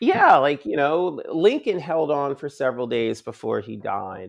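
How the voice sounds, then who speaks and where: Against a quiet background, a speaker with an American accent talks in an animated tone at a fairly slow pace. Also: man. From Chicago and Philadelphia. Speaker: filmmaker. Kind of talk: interview conversation.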